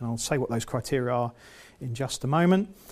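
With an English accent, a man speaks at a fairly quick pace with ordinary pitch variation. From England. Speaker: EU funding consultant and trainer. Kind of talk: lecture. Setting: seminar room with live audience. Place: meeting room. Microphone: lapel.

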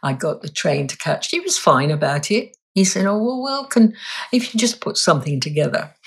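A woman talks at a moderate pace with a southern English accent. Her medium pitch swings very widely. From London, England. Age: 80s+. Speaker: reflexologist and energy healer. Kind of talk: interview answer.

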